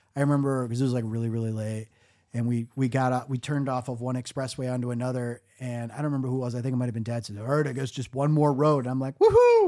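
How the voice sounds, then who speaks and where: A man with a Michigan accent speaks at a very fast pace, his medium-pitched voice dark and mellow in tone. Pitch varies in an ordinary way, and the recording is very clean with a silent background. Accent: Michigan, general American. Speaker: podcast host. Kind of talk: casual comedic storytelling. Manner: sarcastic, joking, animated.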